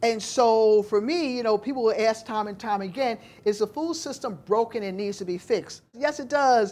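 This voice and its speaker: With an American accent, a woman speaks in an animated tone at a moderate pace, her intonation lively. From US. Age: 60s. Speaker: food justice activist and urban farmer. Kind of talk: panel dialogue talk.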